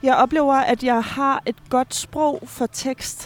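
This is a woman speaking. Her pitch shows ordinary variation. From Finland. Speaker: stage director. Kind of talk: casual interview. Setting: busy café. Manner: halting, many fillers.

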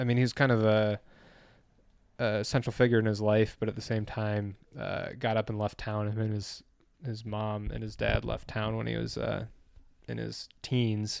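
Recorded very cleanly against a silent background, a man with a fairly low pitch talks at a moderate pace in a monotone, flat intonation, leaving long, frequent pauses. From Michigan, US Midwest. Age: 20s. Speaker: podcast guest and fan. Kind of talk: casual chat.

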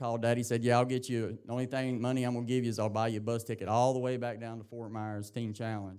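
Very fast delivery from a man with an Appalachian accent, medium pitch, monotone, flat intonation and a dark, mellow tone. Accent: Southern US (Appalachian). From East Tennessee, US South. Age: 30s. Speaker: recovery program graduate. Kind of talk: testimony. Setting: church with congregation.

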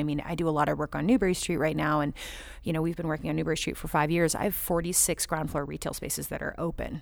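A woman with an American accent at a very fast pace, very deep and low in pitch with vocal fry, in a very clean recording against a silent background. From Southern California. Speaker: marketing agency founder. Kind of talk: panel discussion. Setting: recorded on location at a shopping center.

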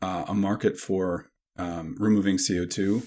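An unremarkable speaking voice from a man with a Canadian accent, fairly low in pitch with ordinary pitch variation, comes through on a very clean recording with a silent background. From Canada. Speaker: professor. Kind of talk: interview.

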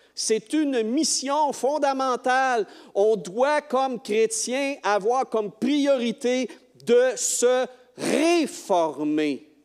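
A man speaks very slowly in a Quebec accent. His pitch is extremely high. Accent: Québécois French. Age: 60s. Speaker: lay preacher, retired teacher and school bus driver. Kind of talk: sermon. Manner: halting.

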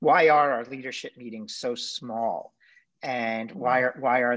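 Against a quiet background, a man with a normal speaking voice talks at a fairly slow pace, his medium pitch showing ordinary variation. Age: 40s. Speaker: podcast co-host, former government official. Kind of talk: casual chat.

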